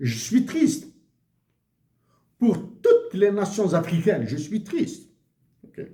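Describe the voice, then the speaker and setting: At a very slow pace with long, frequent pauses, a man with a high pitch and dark, mellow tone speaks with very wide pitch swings and big swings in loudness. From Algeria, Kabylie (Akbou, Bejaia). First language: Tamazight (Kabyle) (speaking French). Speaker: economics commentator. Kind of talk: monologue video commentary. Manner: halting, many hesitations.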